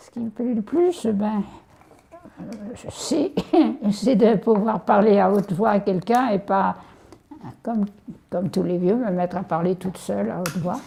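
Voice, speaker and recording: Amid noticeable background noise, a woman speaks at a medium pitch and a fairly slow pace, with ordinary pitch variation and long, frequent pauses. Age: 80s+. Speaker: elderly widow hosting a student. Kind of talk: casual chat.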